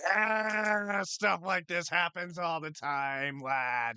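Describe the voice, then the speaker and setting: A man's put-on character voice, high-pitched and very slow. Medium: actual play. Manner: laid-back, weary.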